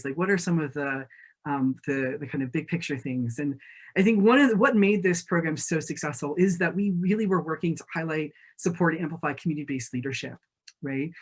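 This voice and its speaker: The pace is fairly quick. The recording is very clean, with a silent background. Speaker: conference panelist, campus resource center staff. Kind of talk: conference presentation. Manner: fast.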